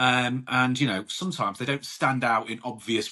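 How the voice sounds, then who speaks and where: A man with a British accent speaks at a medium pitch and a fairly quick pace. His tone is bright and sharp. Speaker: podcast host; grassroots football coach. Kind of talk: solo podcast talk. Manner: loud; casual, chatty.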